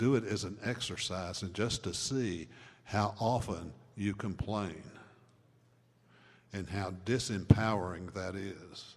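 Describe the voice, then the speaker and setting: The delivery is very slow, broken by long, frequent pauses. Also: man. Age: 70s. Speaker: recovery mentor and speaker. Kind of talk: talk to a live audience.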